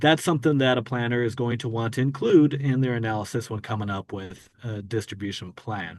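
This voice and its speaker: Against a quiet background, a man at medium pitch talks at a fairly quick pace with hardly any pauses and ordinary pitch variation. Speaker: energy consultant. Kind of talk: webinar presentation. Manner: fast.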